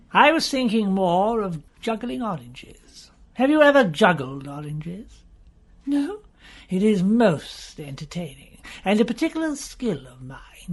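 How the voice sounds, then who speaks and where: A put-on character voice with fairly high pitch, very wide pitch swings and a moderate pace. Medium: audio drama. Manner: sneering.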